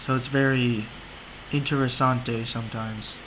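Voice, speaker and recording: With audible room echo and noticeable background noise, a man talks fairly slowly at a medium pitch in a flat monotone. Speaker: website tutorial video maker. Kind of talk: screen-recorded tutorial. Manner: casual, joking.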